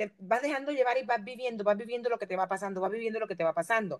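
A woman's plain, everyday voice, fairly high in pitch with lively intonation. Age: 50s. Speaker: podcast host. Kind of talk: casual chat.

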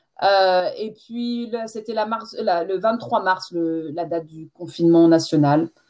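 A woman's dark, mellow voice at a very slow pace, with big swings in loudness and ordinary pitch variation. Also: medium pitch for a woman, hardly any pauses. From France. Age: 40s. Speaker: French teacher. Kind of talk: interview.

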